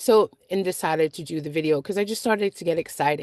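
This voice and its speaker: A woman talks at a very fast pace, recorded with a dry, close sound and no echo. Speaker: vlogger. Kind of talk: casual vlog monologue. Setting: in a car.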